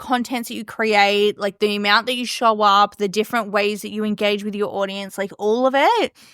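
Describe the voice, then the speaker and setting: A woman speaks at a fairly quick pace, animated and fairly high in pitch. The recording is very clean, with a silent background. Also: dry, close sound with no echo. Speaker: podcast host and business coach. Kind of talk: casual monologue. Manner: fast.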